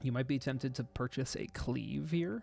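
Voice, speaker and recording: A soft-spoken man talks at a moderate pace. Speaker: video game streamer. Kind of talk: gameplay tutorial commentary. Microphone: too quiet.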